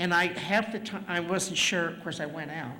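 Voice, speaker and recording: In a room with audible echo, a woman talks at a moderate pace in a fairly low voice. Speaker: community member at public comment. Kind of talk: public comment at a meeting. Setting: school board meeting. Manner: loud.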